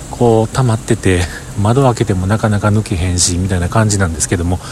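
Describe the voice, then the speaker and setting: A man with a fairly low pitch talks over noticeable background noise. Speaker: podcaster. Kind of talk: casual monologue. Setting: outdoors at a station.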